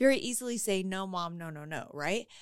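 This is an ordinary speaking voice with an American accent. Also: woman. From Colorado, US. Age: 50s. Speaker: real estate student and small business owner. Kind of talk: personal testimony in interview.

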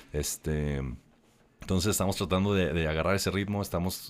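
A man's very deep, low voice in a flat monotone, on a very clean recording with a silent background. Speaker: musician. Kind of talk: casual chat. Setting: studio.

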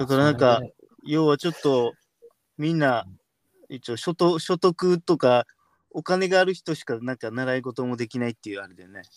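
Big swings in loudness mark this man's fairly quick delivery. His is a plain, everyday voice with a fairly high pitch and ordinary pitch variation. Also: dry, close sound with no echo. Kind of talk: casual chat.

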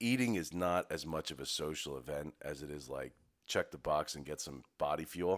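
A man's voice at a moderate pace, with vocal fry and lively intonation. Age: 30s. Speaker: business owner, podcast co-host. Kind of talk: casual chat.

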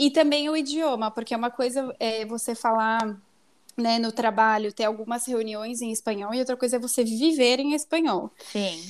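An unremarkable speaking voice from a woman, fairly high-pitched, moderate in pace, with ordinary pitch variation. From São Paulo, Brazil. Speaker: marketing professional. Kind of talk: casual chat.

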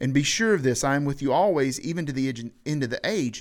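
A man talks with an American accent at a fairly high pitch. The recording is very clean, with a silent background. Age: 30s. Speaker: podcast host. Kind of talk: casual chat.

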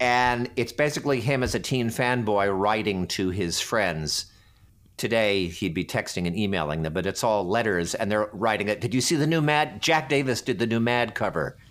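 Fairly low in pitch, a man speaks in a plain, everyday voice at a moderate pace with lively intonation. His loudness stays very even, and the recording is very clean with a silent background. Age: 50s. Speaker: actor. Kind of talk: casual chat.

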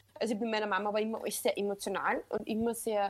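On a very clean recording with a silent background, someone talks at a very fast pace. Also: woman. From Upper Austria. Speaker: social media coach. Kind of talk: casual podcast interview.

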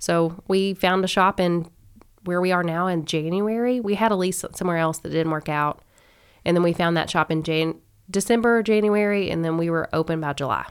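A woman with an American accent has an ordinary speaking voice, a fairly low pitch, ordinary pitch variation and a moderate pace. The recording is very clean, with a silent background. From Kentucky, US South (Owensboro). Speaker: small business owner. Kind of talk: casual interview.

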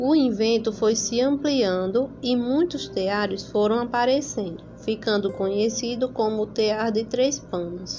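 Over noticeable background noise, a woman speaks very slowly at a fairly high pitch, with ordinary pitch variation, very even loudness and hardly any pauses. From Paraíba, Brazil (São Bento). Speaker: local history presenter. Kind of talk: scripted narration.

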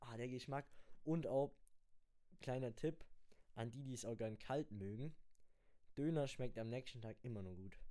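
A man with a dark, mellow tone and medium pitch talks at a moderate pace, using ordinary pitch variation and long, frequent pauses. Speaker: podcast host. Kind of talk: casual chat.

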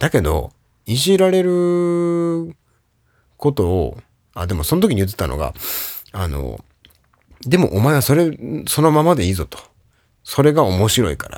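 The speaker pauses often and for long stretches. Pitch swings very widely, and loudness rises and falls sharply. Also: man, fairly high pitch for a man. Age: 30s. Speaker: podcast host. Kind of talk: solo casual talk. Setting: remote recording.

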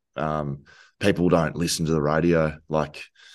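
Against a quiet background, a man with an Australian accent speaks in a very deep, low pitch with monotone, flat intonation. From Victoria, Australia (Geelong). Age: 30s. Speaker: former footballer and podcaster. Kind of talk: casual chat.

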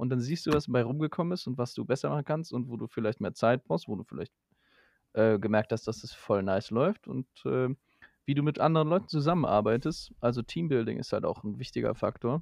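Over a quiet background, a man with a medium pitch talks at a fairly quick pace with lively intonation and vocal fry. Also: dry, close sound with no echo. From Germany. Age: 20s. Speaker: media technology student, trained voice actor. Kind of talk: casual chat.

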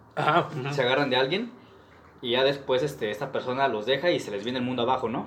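At a very fast pace, a man speaks with a Mexican accent, medium pitch and ordinary pitch variation. Room echo is audible, and background noise is noticeable. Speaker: podcast host. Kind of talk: casual chat.

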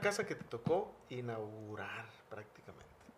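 Very wide pitch swings run through a man's somewhat breathy voice. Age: 40s. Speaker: priest and podcast host. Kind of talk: interview.

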